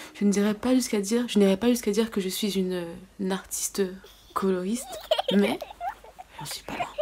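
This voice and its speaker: A woman's medium-pitched voice at a fairly quick pace, fairly even in intonation, with long, frequent pauses and noticeable background noise. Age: 20s. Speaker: beauty vlogger. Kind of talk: storytime vlog.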